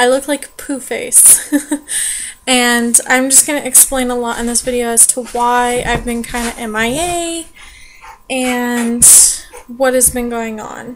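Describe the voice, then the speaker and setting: A woman's high-pitched voice with fairly even intonation and long, frequent pauses, over noticeable background noise. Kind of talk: casual vlog talk to camera.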